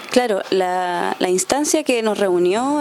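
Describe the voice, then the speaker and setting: Against noticeable background noise, a woman speaks very slowly at a fairly high pitch with lively intonation. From Coyhaique, southern Chile. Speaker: folk musician and music teacher. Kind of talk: radio interview.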